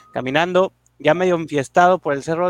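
In a dry, close recording with no echo, a man with an unremarkable speaking voice talks at a fairly quick pace with fairly even intonation. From Mexico, Monterrey area. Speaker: podcast co-host. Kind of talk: scripted narration.

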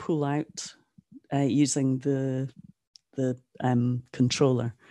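Speaking with a northeast Scottish accent, a woman has a very deep, low pitch and a dark, mellow tone, recorded dry and close with no echo against a quiet background. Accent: Scottish, northeast Scotland. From Aberdeen, Scotland. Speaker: NFT artist. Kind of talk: casual interview chat.

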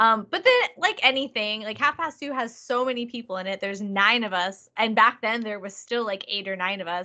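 A woman with a Californian accent talks with a fairly high, bright, sharp voice, an animated tone, ordinary pitch variation and hardly any pauses against a quiet background. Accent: Californian American English. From Southern California. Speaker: ska band lead singer. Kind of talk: casual interview chat.

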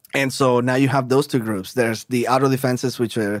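The speaker has a Spanish accent and fairly even intonation. The recording is very clean, with a silent background. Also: man. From Colombia. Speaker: hard rock band singer. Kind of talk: casual chat.

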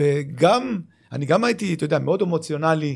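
A man with an ordinary speaking voice talks at a fairly high pitch, with ordinary pitch variation. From Israel, Lod. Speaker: retired footballer and club manager. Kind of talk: casual interview.

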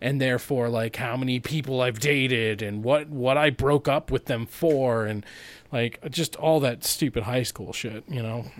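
A plain, everyday voice with an American accent speaks at a moderate pace with fairly even intonation. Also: man, medium pitch for a man. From Boise, Idaho, US. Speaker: podcast host. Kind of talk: casual chat.

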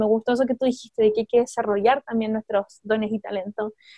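This is a woman's voice. Her intonation stays fairly even. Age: 20s. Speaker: podcast co-host. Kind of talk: casual chat.

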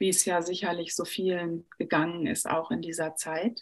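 This woman has a normal speaking voice, pitched fairly low. She talks at a moderate pace with fairly even intonation. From Sauerland, Germany. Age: 40s. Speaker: personal trainer and coach. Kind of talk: presentation in an online panel. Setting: video call.

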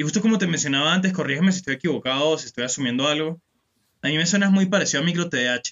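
The speaker has a Venezuelan accent and talks at a very fast pace. Pitch variation is ordinary. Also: man. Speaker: podcast host. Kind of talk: casual chat.

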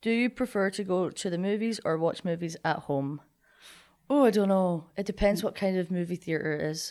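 Against a very clean, silent background, a woman with a Scottish accent speaks at a medium pitch and moderate pace, with ordinary pitch variation and a dark, mellow tone. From Scotland, Linlithgow. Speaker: college athlete and graduate student. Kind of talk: casual chat.

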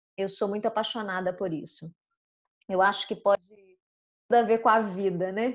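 A woman's voice at a medium pitch moves along at a moderate pace. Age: 40s. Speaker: communication and public speaking coach. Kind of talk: casual interview chat. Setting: online recording.

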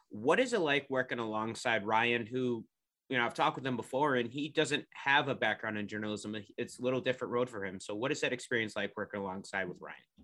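Talking at a very fast pace with a western New York accent, a man with medium pitch, ordinary pitch variation and a bright, sharp tone swings widely in loudness over a quiet background. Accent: western New York (Inland North). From Rochester area, New York. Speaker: podcast host. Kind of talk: interview hosting.

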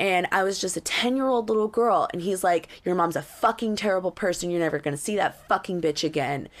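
At a fairly quick pace with hardly any pauses, a woman speaks at a medium pitch with ordinary pitch variation. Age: 30s. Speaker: podcast host. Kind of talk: casual chat. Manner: halting.

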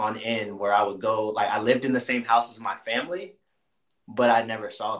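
A medium-pitched man with an American accent at a moderate pace. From US South, Atlanta (east side). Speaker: Marine senior NCO. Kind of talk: casual interview chat. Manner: animated.

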